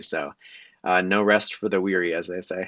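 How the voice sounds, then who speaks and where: A man with a very deep, low pitch speaks in a bright, sharp tone. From United States, moved around. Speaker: electronics vendor and engineer. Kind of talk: casual interview.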